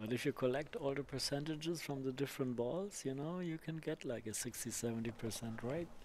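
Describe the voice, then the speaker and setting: A man with an ordinary speaking voice, fairly high in pitch, at a fairly quick pace with ordinary pitch variation and hardly any pauses. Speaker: pool commentator. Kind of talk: live commentary.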